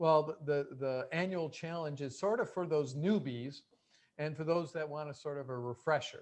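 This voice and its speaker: Against a quiet background, a man talks at a moderate pace. His pitch is fairly high, with ordinary variation. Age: 60s. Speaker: plant-based chef and cooking instructor. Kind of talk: cooking demonstration. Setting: video call. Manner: hesitant, many fillers.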